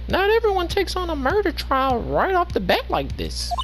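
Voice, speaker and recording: The speaker uses a put-on character voice at a moderate pace. Clear background noise runs underneath. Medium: game stream.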